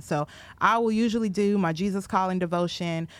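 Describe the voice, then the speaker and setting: A woman's normal speaking voice with an American accent, medium pitch, lively intonation and a fairly quick pace, on a very clean recording with a silent background. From Minnesota, Minneapolis area. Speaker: podcast co-host. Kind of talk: casual chat.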